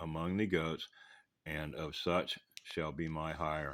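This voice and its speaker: A man talks very slowly, and the recording is very clean with a silent background. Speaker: bible reader. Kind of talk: reading aloud. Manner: halting.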